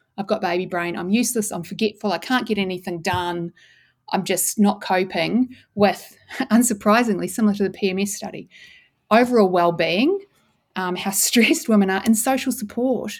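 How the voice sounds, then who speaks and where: A woman with a New Zealand accent on a very clean recording with a silent background. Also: medium pitch for a woman, ordinary pitch variation, moderate pace. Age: 40s. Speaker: neuroscientist and author. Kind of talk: interview.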